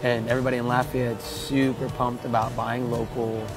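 Clear music plays behind a man who speaks at a fairly quick pace. The sound is dry, with no echo. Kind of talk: interview answer. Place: bar.

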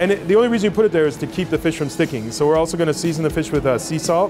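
There is clear music in the background. Over it, a man speaks. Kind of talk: cooking demonstration and interview answer. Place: kitchen. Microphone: lapel.

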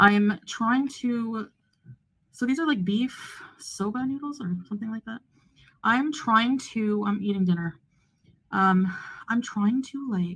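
Against a quiet background, a woman speaks at a fairly slow pace with ordinary pitch variation and long, frequent pauses. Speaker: vlogger. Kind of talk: casual vlog chat. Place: home room. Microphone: phone near.

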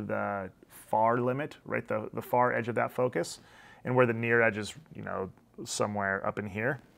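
We hear a male speaker. Ordinary pitch variation runs through his speech. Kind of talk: tutorial commentary. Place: office.

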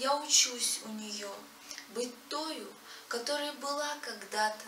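A woman's high-pitched voice with ordinary pitch variation, at a very slow pace, with audible room echo and light background noise. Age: young. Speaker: poet; poet reciting own verse. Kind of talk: reading aloud. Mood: reflective, earnest.

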